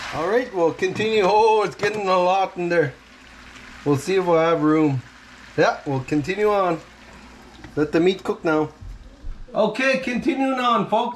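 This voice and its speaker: A man at a high pitch and moderate pace, lively intonation, long and frequent pauses, light background noise. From Meander River, Alberta, Canada. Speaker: outdoorsman, hunting and cooking video host. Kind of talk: casual cooking tutorial to camera. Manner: casual, hesitant. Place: kitchen. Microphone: camera far.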